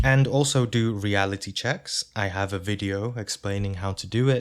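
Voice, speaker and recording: A fairly low male voice with a calm tone and fairly even intonation, on a very clean recording with a silent background. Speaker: spiritual teacher. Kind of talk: instructional talk. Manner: slow.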